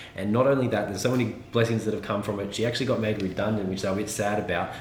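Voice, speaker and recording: This man's intonation is fairly even, and his voice comes with audible room echo and noticeable background noise. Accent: Australian. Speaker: homesteading YouTuber. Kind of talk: casual vlog.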